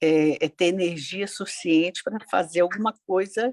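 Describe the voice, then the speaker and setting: In a dry, close sound with no echo, a woman speaks at a fairly slow pace in a fairly low voice. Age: 60s. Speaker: participant in grief support group. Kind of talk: personal testimony in group discussion. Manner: halting, many hesitations.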